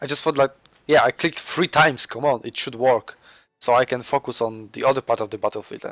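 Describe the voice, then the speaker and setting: At a fairly quick pace, a man speaks with medium pitch and fairly even intonation, in a very clean recording with a silent background and a dry, close sound with no echo. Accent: Polish. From Poland. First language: Polish. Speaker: gaming commentator. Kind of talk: gameplay commentary. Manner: halting.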